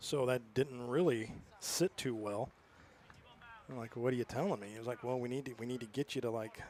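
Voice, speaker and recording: The speaker is a man with a medium pitch. He keeps a moderate pace with ordinary pitch variation. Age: 60s. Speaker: baseball play-by-play announcer. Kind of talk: live sports commentary.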